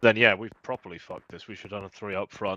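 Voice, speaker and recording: With a British accent, a man speaks in a bright, sharp tone and monotone, flat intonation, the sound dry and close with no echo. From Britain. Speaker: gamer. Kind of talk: casual chat.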